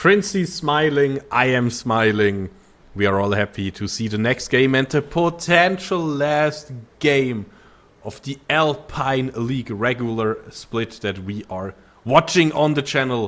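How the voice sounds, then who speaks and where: A man with a non-native accent speaks at a fairly slow pace. His medium-pitched voice has lively intonation. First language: not English. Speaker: esports play-by-play caster. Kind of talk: live commentary.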